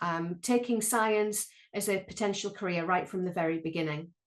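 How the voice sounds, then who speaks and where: A woman is speaking. She has a Sunderland accent. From northeast England, Sunderland. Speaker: planetary scientist and lecturer. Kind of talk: online panel talk. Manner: hesitant, many ums.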